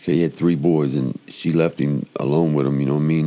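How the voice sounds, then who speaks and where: Noticeable background noise accompanies a man with an American accent who talks at a fairly quick pace in a very deep, low pitch with fairly even intonation. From Chicago. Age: 50s. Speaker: podcast interviewee sharing life story. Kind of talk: personal testimony interview. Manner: halting, repetitive stammering; casual, colloquial.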